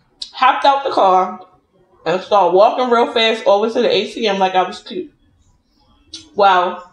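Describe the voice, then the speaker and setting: Against a quiet background, a woman talks at a moderate pace, and some room echo can be heard. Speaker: food vlogger. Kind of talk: casual storytelling vlog chat while eating. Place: home room. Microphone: phone near.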